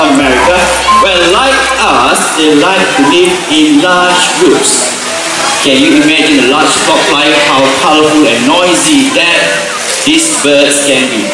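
A man talks at a fairly slow pace. Clear music plays behind him, and the room echo is audible. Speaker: presenter. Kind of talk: show commentary. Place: stadium.

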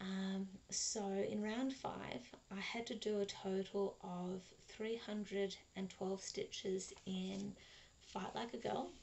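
A woman's somewhat breathy voice at a very slow pace, with ordinary pitch variation. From Australia. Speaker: cross stitch vlogger; crafting vlogger. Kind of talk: casual vlog monologue; casual vlog chat. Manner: hesitant, many fillers. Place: home room. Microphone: webcam.

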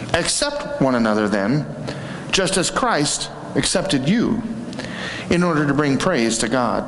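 The pitch swings very widely at a fairly slow pace. Audible room echo and light background noise come through. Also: man. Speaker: preacher. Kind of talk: scripture reading in a sermon. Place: church.

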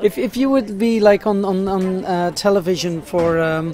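The voice carries a Flemish accent. Noticeable background noise runs beneath it. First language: Dutch (Flemish). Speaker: street interviewer. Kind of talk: street interview. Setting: outdoors.

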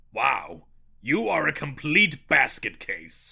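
Using a put-on character voice, a man speaks very slowly in a raspy tone at medium pitch, his pitch swinging very widely. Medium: cartoon. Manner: haughty, sarcastic.

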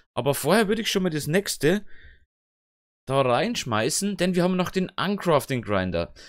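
In a very clean recording with a silent background, a man speaks at a moderate pace with long, frequent pauses. His voice is high, with very wide pitch swings. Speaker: gaming YouTuber. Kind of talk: let's play commentary. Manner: casual, self-talking.

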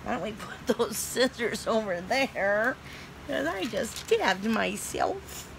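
Using a put-on character voice that is whiny in tone, the speaker talks at a fairly slow pace over noticeable background noise. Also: woman, fairly high pitch for a woman.

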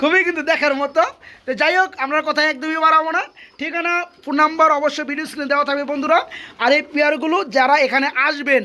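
A man projects his voice in a raised, bright, sharp tone at an extremely high pitch with fairly even intonation. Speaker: pigeon vlogger visiting a farm. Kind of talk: vlog-style sales walkthrough. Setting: pigeon farm.

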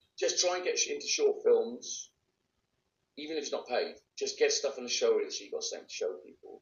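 A man's voice at a fairly quick pace, with big swings in loudness and audible room echo. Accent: Welsh. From Wales, Bridgend; Wales. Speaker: actor; actor being interviewed. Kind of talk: interview; interview answer. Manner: casual, with hesitations. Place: home room. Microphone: phone near.

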